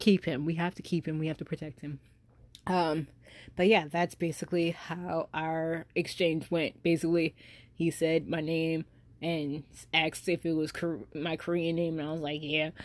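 A woman's fairly low voice at a moderate pace, on a very clean recording with a silent background. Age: 20s. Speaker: podcast host. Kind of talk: casual monologue. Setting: at home. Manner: animated.

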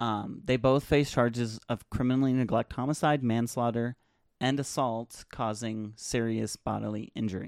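A man's medium-pitched, unremarkable speaking voice at a moderate pace, on a very clean recording with a silent background and a dry, close sound with no echo. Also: fairly even intonation. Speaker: podcast host. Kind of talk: solo podcast commentary. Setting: small closet home studio. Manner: casual, many filler words. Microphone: new USB mic on boom arm, clearer than before.

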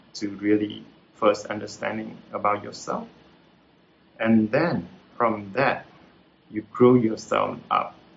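With a Vietnamese accent, a man talks at a fairly slow pace and medium pitch. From central Vietnam (Hue). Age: 40s. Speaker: retired tech entrepreneur. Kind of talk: talk with Q&A. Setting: video call. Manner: hesitant, many fillers.

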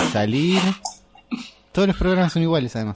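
A man with a Rioplatense accent and lively intonation. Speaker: podcast host. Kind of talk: casual chat. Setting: home kitchen.

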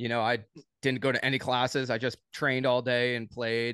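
Over a quiet background, a man with a plain, everyday voice talks at a medium pitch and a moderate pace. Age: 30s. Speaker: day trader, former pro soccer player. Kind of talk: casual interview.

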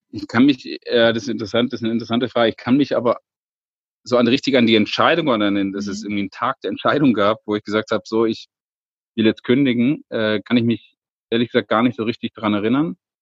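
Very fast, medium-pitched male speech with fairly even intonation and a dry, close sound with no echo. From Lake Constance, southern Germany. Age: 30s. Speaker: safari guide. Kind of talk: casual interview. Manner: hesitant with many fillers.

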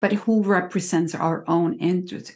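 A woman with an American accent, fairly low pitch and vocal fry, at a fairly slow pace against a quiet background. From Cuba, raised partly in California. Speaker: court interpreter and dialect coach. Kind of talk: interview.

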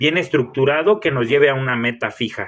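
A man talks fairly quickly in an ordinary speaking voice, his pitch moving in a normal way. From Mexico, Michoacán. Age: 30s. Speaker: fitness coach and bodybuilder. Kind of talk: solo podcast monologue.

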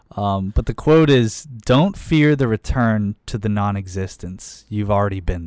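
With an American accent, a man speaks in an ordinary speaking voice at a fairly low pitch and a fairly slow pace with hardly any pauses, on a very clean recording with a silent background and a dry, close sound with no echo. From Pittsburgh, US. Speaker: podcast co-host. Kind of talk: casual chat.

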